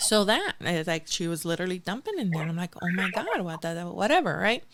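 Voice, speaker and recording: In a Spanish accent, a woman speaks with an animated tone. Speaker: podcast host. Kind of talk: casual chat. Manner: halting.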